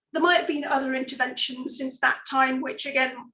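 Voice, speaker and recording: Audible room echo surrounds a woman with an English accent who speaks at a high pitch with fairly even intonation. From England. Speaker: archaeologist. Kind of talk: lecture. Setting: online talk.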